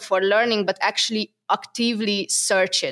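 On a very clean recording with a silent background, a woman with a Hungarian accent speaks at a fairly high pitch and a moderate pace. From Hungary. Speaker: SEO product manager. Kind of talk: interview. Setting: in person.

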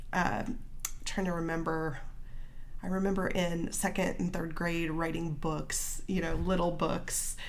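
With a Midwestern American accent, a woman speaks with ordinary pitch variation amid audible room echo. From small-town Illinois. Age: 40s. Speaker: marketing business owner and writer. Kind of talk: casual interview.

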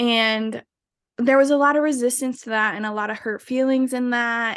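A woman speaks in a plain, everyday voice at a moderate pace, fairly even in intonation, against a quiet background. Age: 20s. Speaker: podcast guest. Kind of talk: casual chat.

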